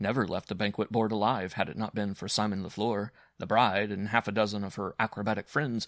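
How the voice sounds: The clip features a natural reading voice. It is a reader's natural voice throughout.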